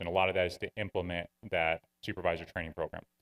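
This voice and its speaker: A man at a fairly quick pace, dry and close with no echo, in a very clean recording with a silent background. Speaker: police training official. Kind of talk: presentation to city council. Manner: fast.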